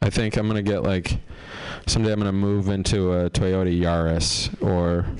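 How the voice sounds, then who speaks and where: Over noticeable background noise, a man with a very deep, low pitch speaks at a moderate pace in a monotone, flat intonation and very even loudness. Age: 40s. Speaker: stand-up comedian. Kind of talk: stand-up.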